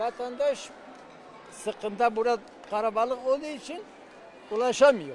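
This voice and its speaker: With an extremely high pitch, a man talks through long, frequent pauses. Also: ordinary pitch variation, moderate pace. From southeastern Turkey, Adıyaman region. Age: 60s. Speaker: former village headman, earthquake survivor. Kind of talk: street interview. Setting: sports hall shelter.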